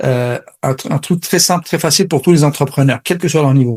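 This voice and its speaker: In a dry, close sound with no echo, a somewhat breathy man with a fairly high pitch and ordinary pitch variation talks at a fairly quick pace. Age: 40s. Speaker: sales coach. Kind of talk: interview.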